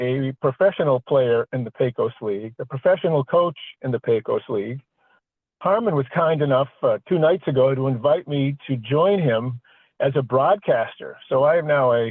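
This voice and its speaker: A man with a fairly high pitch speaks at a moderate pace with ordinary pitch variation in an unremarkable speaking voice. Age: 60s. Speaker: podcast host. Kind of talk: casual chat.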